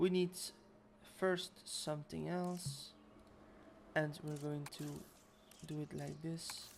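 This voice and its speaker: Speaking at a very slow pace with a non-native accent, the voice breaks into long, frequent pauses. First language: not English. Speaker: video game streamer. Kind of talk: gameplay livestream commentary. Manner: casual, hesitant with fillers.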